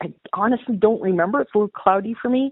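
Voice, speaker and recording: A woman with a Canadian accent talks in an ordinary speaking voice, her pitch varying an ordinary amount. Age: 60s. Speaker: model horse hobbyist and artist. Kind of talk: interview.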